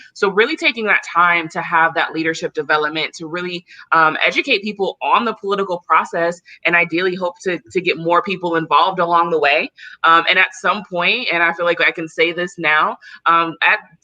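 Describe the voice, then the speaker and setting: In a normal speaking voice with an American accent, a woman talks at a fairly quick pace. Her pitch is fairly low. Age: 30s. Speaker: community organizer. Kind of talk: interview.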